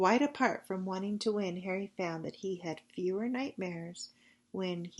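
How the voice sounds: It is a natural reading voice. The pitch variation is ordinary.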